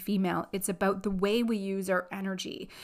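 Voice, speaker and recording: The woman's tone is animated. She talks at a moderate speed. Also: very clean recording, silent background. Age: 40s. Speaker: podcast host and life coach. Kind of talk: solo podcast monologue.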